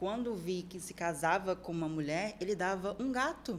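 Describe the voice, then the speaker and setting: This woman has an ordinary speaking voice, pitched in the medium range, with ordinary pitch variation and a moderate pace. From Brazil, Serra Gaúcha (Rio Grande do Sul). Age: 20s. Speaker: fitness model and nutrition student. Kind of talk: podcast interview.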